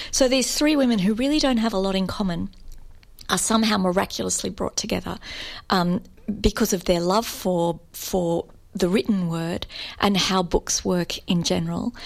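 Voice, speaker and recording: A normal speaking voice comes at a moderate pace with ordinary pitch variation. The recording is very clean, the background silent. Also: woman, medium pitch for a woman. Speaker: novelist. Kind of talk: author interview.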